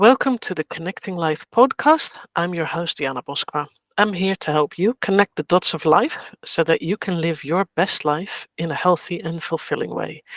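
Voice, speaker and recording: In a dry, close sound with no echo, a woman with a normal speaking voice talks at a moderate pace with fairly low pitch, ordinary pitch variation and hardly any pauses. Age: 50s. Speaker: podcast host. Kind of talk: casual chat.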